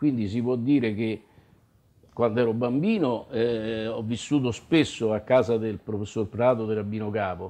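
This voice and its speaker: Using a dark, mellow tone, a man speaks at a moderate pace and medium pitch with fairly even intonation. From Italy, Rome. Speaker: community elder interviewed about memories; interviewee. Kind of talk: oral history testimony. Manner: halting, many fillers. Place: home room.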